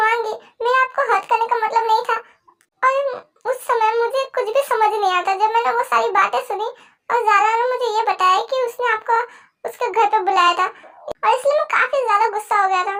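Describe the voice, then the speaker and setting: An extremely high-pitched, put-on character voice. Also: moderate pace. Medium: read story. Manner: emotional, soft.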